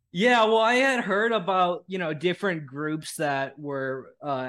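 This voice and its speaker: A man speaks at a fairly slow pace. His tone is bright and sharp, with lively intonation. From United States. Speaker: independent journalist. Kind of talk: casual chat. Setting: livestream interview.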